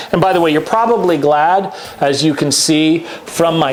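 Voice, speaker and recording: Noticeable background noise runs under this man's voice. He speaks at a fairly slow pace with a fairly high pitch. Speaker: YouTube show host. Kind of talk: casual monologue about sports rankings. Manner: conversational.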